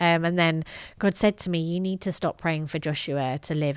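A woman with a northern English accent speaks in a very deep, low voice with ordinary pitch variation, captured in a very clean recording against a silent background. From northern England. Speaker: gender justice specialist and author. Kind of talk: interview.

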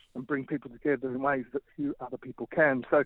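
A man with an Australian accent talks at a fairly quick pace. His pitch is fairly high and his intonation fairly even. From Australia, Melbourne. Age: 40s. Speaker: urban ministry leader. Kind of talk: interview.

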